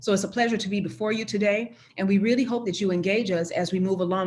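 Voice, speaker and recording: The woman's voice is somewhat breathy and medium in pitch. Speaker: university chief diversity officer. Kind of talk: conference presentation. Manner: fast.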